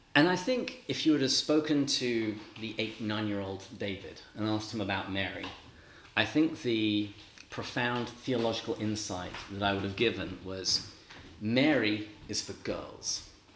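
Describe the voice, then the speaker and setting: Against noticeable background noise, a man with an English accent speaks at a fairly slow pace in a fairly low pitch with ordinary pitch variation. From England. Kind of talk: religious talk to a live audience. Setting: talk to a live audience.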